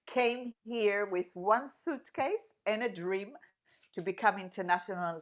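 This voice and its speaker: A woman's medium-pitched voice carries lively intonation as she talks at a fairly slow pace. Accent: Israeli. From Israel. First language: Hebrew. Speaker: singer-songwriter. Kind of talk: radio interview. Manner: intense, energetic.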